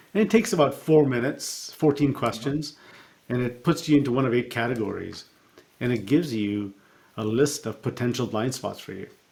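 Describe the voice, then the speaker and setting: A somewhat breathy man's voice at medium pitch, fairly quick, with ordinary pitch variation and big swings in loudness. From born in Africa, raised in Canada. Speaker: coach and speaker. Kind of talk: interview answer.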